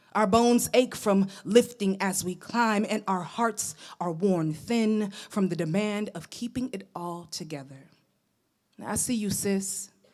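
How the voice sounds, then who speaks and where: In an American accent, a woman with an ordinary speaking voice talks at a fairly slow pace and medium pitch, with ordinary pitch variation, on a very clean recording with a silent background. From New York. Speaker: poet. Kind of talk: spoken word poetry performance.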